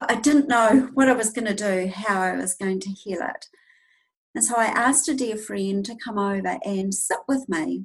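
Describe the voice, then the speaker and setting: Somewhat breathy, the voice has a New Zealand accent, a moderate pace and ordinary pitch variation. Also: woman, fairly high pitch for a woman. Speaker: intuitive healer and teacher. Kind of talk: casual interview, personal testimony.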